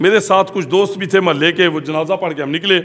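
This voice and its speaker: A man is speaking here. His pace is moderate and his pitch varies in an ordinary way. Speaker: Islamic preacher. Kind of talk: sermon.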